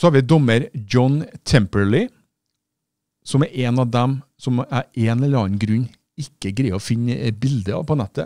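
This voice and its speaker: Recorded dry with no echo against a quiet background, a man speaks at a fairly slow pace in a dark, mellow tone with ordinary pitch variation. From Norway. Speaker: activist video commentator. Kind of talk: opinionated video monologue. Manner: animated, polemical. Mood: indignant, critical. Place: studio. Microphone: studio mic.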